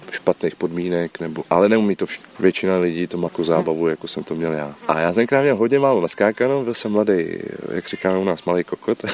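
A man's very deep, low voice at a very fast pace, with ordinary pitch variation, a dry, close sound with no echo, and noticeable background noise. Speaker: former special police officer. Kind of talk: interview.

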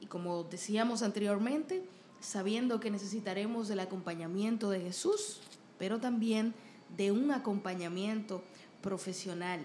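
Speaking at a moderate pace, a woman uses a medium pitch with ordinary variation and a dark, mellow, somewhat breathy tone. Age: 30s. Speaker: podcast host and singer. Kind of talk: casual interview chat.

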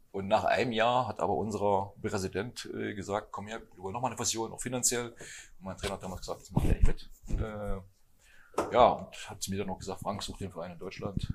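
Using an ordinary speaking voice, a man talks at a fairly quick pace with a fairly low pitch, fairly even intonation and big swings in loudness. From eastern Germany (Thuringia, Hermsdorf). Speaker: handball coach. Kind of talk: casual chat. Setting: restaurant table with other guests.

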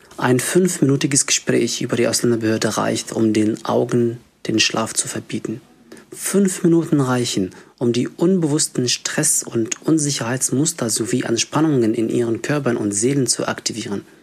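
This man uses a plain, everyday voice, pitched at a medium level with ordinary pitch variation. He keeps a moderate pace. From Egypt. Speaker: refugee social worker and activist. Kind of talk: reading an essay aloud.

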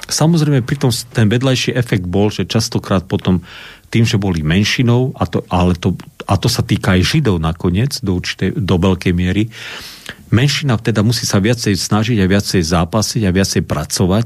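This man has an unremarkable speaking voice with a fairly low pitch and lively intonation. His loudness stays very even at a moderate pace. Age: 60s. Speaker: Lutheran pastor and historian. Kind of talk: radio interview.

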